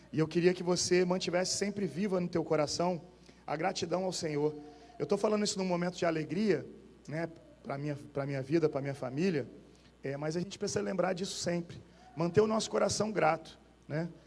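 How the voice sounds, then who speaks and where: Against noticeable background noise, a man with a high voice and ordinary pitch variation talks at a fairly quick pace, broken by long, frequent pauses. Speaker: pastor. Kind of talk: sermon. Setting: church.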